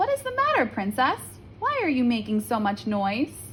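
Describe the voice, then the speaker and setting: Over clear background noise, a woman performs a put-on character voice at a moderate pace. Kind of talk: bedtime story. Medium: read story.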